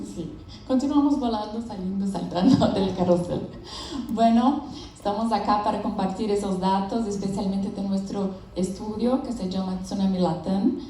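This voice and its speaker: In a Brazilian accent, a woman speaks at a moderate pace with ordinary pitch variation, amid audible room echo and noticeable background noise. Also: medium pitch for a woman. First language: Portuguese (speaking Spanish). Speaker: business founder and researcher. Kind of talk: conference presentation. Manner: halting.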